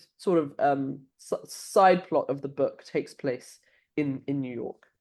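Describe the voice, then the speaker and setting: A woman's very deep, low pitch and dark, mellow tone, in a London accent with ordinary pitch variation. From London, England. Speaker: author. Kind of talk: interview.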